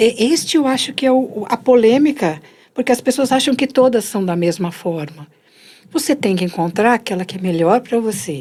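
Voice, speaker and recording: Her voice dark and mellow, a woman with a fairly high pitch makes very wide pitch swings. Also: moderate pace. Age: 60s. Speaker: meditation and self-development teacher. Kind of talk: conversational explanation.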